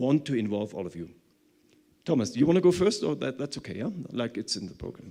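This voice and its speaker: This man talks very fast at a medium pitch, his loudness swinging a lot and his pitch swinging very widely. His tone is dark and mellow, with vocal fry. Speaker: conference speaker. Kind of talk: conference presentation.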